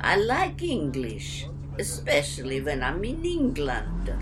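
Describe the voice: Someone performs a put-on character voice at a fairly slow pace while loud music plays in the background.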